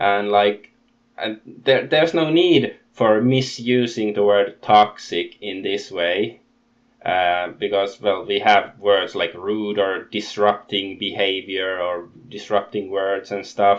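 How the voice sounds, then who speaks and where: A man's fairly low voice moves very slowly, its pitch varying in an ordinary way. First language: not English. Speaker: YouTuber commentator. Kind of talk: casual rant. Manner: halting.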